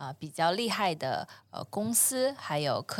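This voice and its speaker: A woman's voice ranges through very wide pitch swings. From China, long periods abroad. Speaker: environmental startup founder. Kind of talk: casual interview. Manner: hesitant, many filler sounds.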